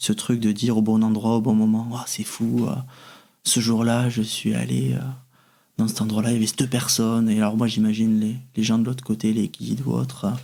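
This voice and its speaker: At a fairly quick pace, a man speaks in a dark, mellow tone with very even loudness and fairly even intonation. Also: medium pitch for a man. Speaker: medium. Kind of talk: interview answer.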